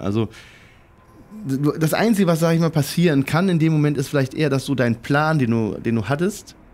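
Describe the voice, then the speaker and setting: A man's fairly high voice at a fairly quick pace, lively in intonation and very even in loudness, with long, frequent pauses. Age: 40s. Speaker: air traffic controller. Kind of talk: podcast interview answer. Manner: casual, hesitant.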